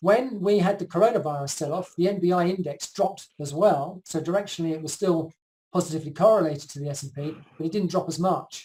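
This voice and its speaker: A man talks at a very fast pace in a high pitch, with ordinary pitch variation. His tone is dark and mellow, and his loudness swings a lot. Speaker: market analyst presenting charts. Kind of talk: online conference presentation. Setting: live video call. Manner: hesitant fillers.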